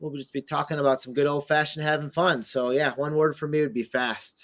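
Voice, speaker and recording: Recorded very cleanly against a silent background, a man talks at a fairly quick pace with fairly even intonation in a plain, everyday voice. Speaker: crypto community show host. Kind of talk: casual chat. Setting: live video Twitter Space.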